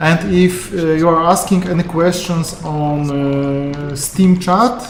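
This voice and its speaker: A speaker with a Polish accent is heard over noticeable background noise. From Poland. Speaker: game QA tester streaming. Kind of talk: live game stream commentary. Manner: halting, many fillers.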